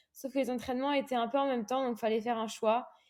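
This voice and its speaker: A woman's fairly high voice with a dark, mellow tone and fairly even intonation, on a very clean recording with a silent background. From Réunion. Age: 20s. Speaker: professional triathlete. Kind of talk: interview. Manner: hesitant, many fillers.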